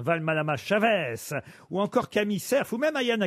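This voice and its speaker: With very wide pitch swings, a man with a Norman accent speaks in a dry, close sound with no echo against a quiet background. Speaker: radio game show host. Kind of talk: comedy panel show. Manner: animated.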